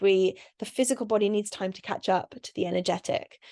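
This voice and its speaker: Talking at a very fast pace, a woman uses a medium pitch and a dark, mellow tone over a quiet background. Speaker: spiritual channeller. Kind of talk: channelled spiritual monologue.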